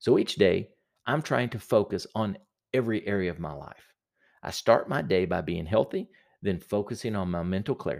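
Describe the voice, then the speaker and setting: A man with a normal speaking voice, fairly low in pitch, at a moderate pace with ordinary pitch variation, on a very clean recording with a silent background. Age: 40s. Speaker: productivity podcast host and small business owner. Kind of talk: solo podcast monologue.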